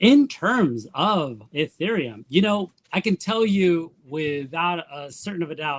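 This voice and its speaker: At a very slow pace with hardly any pauses, a man speaks at high pitch with very wide pitch swings, the sound dry and close with no echo. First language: not English. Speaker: newsletter writer, web3 creator. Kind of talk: panel discussion.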